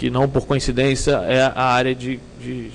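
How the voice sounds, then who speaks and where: A man at medium pitch in a Rio de Janeiro accent. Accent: Rio de Janeiro (carioca) accent, noticeable. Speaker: security consultant / conference speaker. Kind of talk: conference talk. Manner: hesitant, many fillers.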